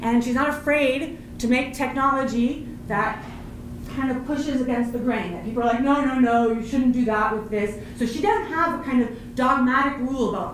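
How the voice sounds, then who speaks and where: Over noticeable background noise and audible room echo, a woman with a high pitch talks in an animated tone at a moderate pace with ordinary pitch variation. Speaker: professor. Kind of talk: panel presentation.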